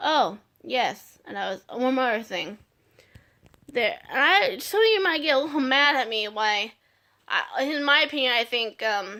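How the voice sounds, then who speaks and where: A woman's raised, projected voice, high-pitched with a bright, sharp tone, at a fairly slow pace. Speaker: video blogger. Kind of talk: casual vlog monologue. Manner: halting, many fillers and restarts.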